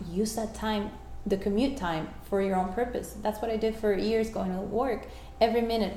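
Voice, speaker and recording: A woman in a Spanish accent at a moderate pace with fairly even intonation, amid audible room echo and noticeable background noise. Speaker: life coach. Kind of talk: interview. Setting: at home.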